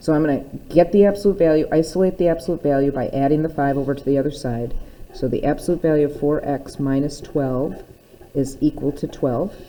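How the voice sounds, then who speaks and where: Amid noticeable background noise, a woman talks at a fairly quick pace in a very deep, low pitch with ordinary pitch variation. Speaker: math teacher. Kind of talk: recorded lesson. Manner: fast.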